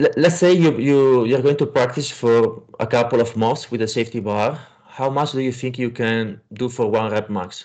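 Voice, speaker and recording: This speaker has an Italian accent and a moderate pace, with ordinary pitch variation. There are hardly any pauses. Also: man, medium pitch for a man. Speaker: powerlifting coach and podcast host. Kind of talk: interview; narrated summary to audience.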